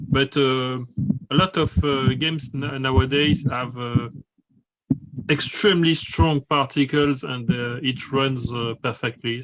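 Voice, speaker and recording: Medium-pitched man at a fairly slow pace with ordinary pitch variation. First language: not English. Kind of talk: casual chat. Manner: halting, many fillers.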